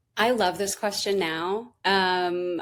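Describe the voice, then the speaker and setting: A normal speaking voice with fairly even intonation comes through on a very clean recording with a silent background. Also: woman. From Southern California. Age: 30s. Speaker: therapist. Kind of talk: interview.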